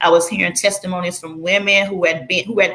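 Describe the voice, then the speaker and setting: A woman's medium-pitched voice with a strong Southern US accent over noticeable background noise. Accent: heavy Southern US. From Florida, US South. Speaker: former church member telling her story. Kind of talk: testimony.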